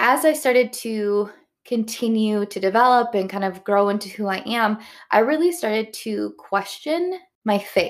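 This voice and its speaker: In a Midwestern American accent, a woman speaks at a moderate pace with a fairly high pitch and lively intonation, in a very clean recording with a silent background. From US Midwest. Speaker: podcast host. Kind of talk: solo opinion monologue. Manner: casual, conversational.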